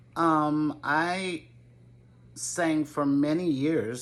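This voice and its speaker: In a New England accent, a woman speaks with a very deep, low pitch. Her pitch variation is ordinary. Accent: New England American. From Connecticut, Waterbury. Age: 70s. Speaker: gardening YouTuber. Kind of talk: casual Q&A vlog. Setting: home video to camera. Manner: hesitant, with fillers.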